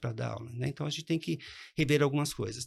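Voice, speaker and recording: A man's fairly high-pitched voice with vocal fry, in a very clean recording over a silent background. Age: 60s. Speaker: economics professor. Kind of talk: interview.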